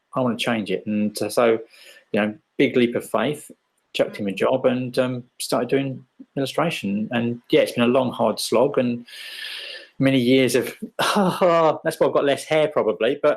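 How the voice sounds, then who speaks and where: Moderate pace and medium pitch from a man, his pitch moving in an ordinary way. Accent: English. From England. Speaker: illustrator. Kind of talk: interview.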